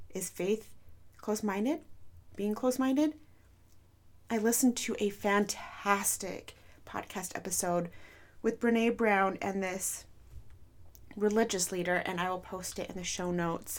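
A woman speaks at a fairly slow pace and a medium pitch, with ordinary pitch variation and long, frequent pauses. The recording is very clean, with a silent background. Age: 30s. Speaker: podcast host. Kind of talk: personal monologue. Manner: slow, with pauses; unscripted.

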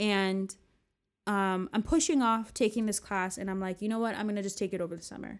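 A woman with an American accent speaks at a fairly quick pace with ordinary pitch variation. She has a plain, everyday voice, in a very clean recording with a silent background. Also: medium pitch for a woman. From US, New Jersey. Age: 30s. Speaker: podcast host. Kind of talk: casual personal monologue.

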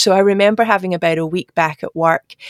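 In a Glasgow accent, a woman speaks fairly quickly with a fairly low pitch. Her intonation is monotone and flat, and the sound is dry and close with no echo. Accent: Glasgow Scottish. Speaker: government digital executive. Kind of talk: interview.

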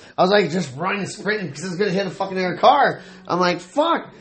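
Over noticeable background noise, a man speaks in a high voice with ordinary pitch variation. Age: 40s. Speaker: party guest telling a story. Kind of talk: casual chat. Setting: house party. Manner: animated.

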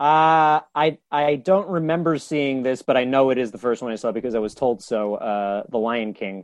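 A man with an ordinary speaking voice talks at a moderate pace and medium pitch, with ordinary pitch variation and hardly any pauses. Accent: American. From New York, Westchester County. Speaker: comedian. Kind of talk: casual chat. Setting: remote call from his bedroom.

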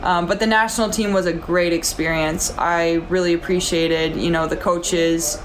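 The speech moves at a moderate pace with ordinary pitch variation, and noticeable background noise is present. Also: woman. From South Dakota. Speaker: former pro basketball player. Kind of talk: casual interview.

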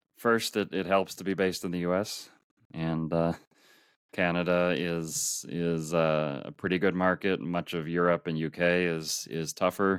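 On a very clean recording with a silent background, a man speaks with an Upper Midwest accent. His pitch is very deep and low, and his intonation is fairly even. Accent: Upper Midwest American. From US Midwest, Minneapolis, Minnesota. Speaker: world traveler. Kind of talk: interview. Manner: halting, frequent repeated words.

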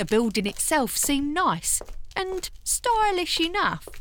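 A woman puts on a character voice, high-pitched and fairly bright in tone. She goes at a slow pace with big pitch swings.

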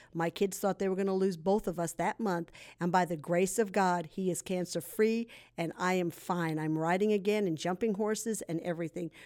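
An unremarkable speaking voice from a woman, medium in pitch, fairly even in intonation and moderate in pace, on a very clean recording with a silent background. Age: 60s. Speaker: ex-addict sharing testimony, prison ministry volunteer. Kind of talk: testimony.

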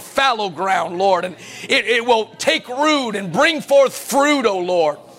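Over noticeable background noise, a man speaks at an extremely high pitch. His tone is animated and his pace fairly slow. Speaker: pastor. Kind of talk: sermon. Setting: church.

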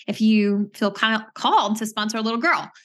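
A woman with an American accent speaks at a moderate pace against a quiet background. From US Midwest. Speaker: charity co-founder and president. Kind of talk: interview.

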